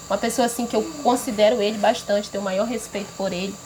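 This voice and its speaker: A woman's fairly quick speech with fairly even intonation, amid noticeable background noise. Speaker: local community member. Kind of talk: casual chat to camera.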